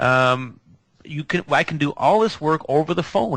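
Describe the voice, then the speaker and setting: A man's fairly high, bright and sharp voice at a moderate pace, over a quiet background. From Manitoba Mennonite German area, Canada. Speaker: energy healer. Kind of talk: radio interview. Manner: halting, many fillers and repeats.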